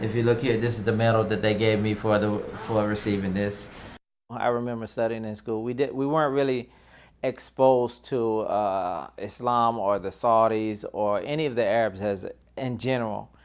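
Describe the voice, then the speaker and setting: An unremarkable speaking voice from a man with an American accent, medium pitch, fairly even intonation and a moderate pace, against a quiet background. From US South, North Carolina. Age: 30s. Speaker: IT consultant and army veteran. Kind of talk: documentary interview.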